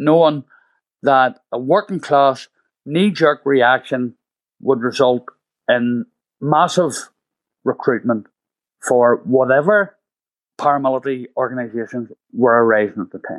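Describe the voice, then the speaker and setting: A man speaks with a Belfast accent, leaving long, frequent pauses. The sound is dry and close, with no echo. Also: very clean recording, silent background. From Northern Ireland, east Belfast. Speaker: playwright and former prisoner. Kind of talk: interview. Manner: halting.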